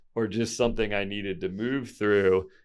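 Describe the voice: A man's fairly low, clear, smooth voice at a moderate pace with fairly even intonation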